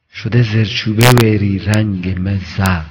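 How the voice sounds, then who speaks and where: There is a somewhat breathy quality to this man's voice, and his intonation stays fairly even. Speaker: poetry reciter. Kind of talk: poetry reading.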